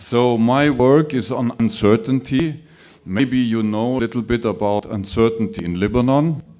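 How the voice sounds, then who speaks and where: There is noticeable background noise behind a man's voice. He speaks at a moderate pace and medium pitch with ordinary pitch variation. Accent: German. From Germany, Munich. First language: German. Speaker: professor. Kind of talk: conference talk.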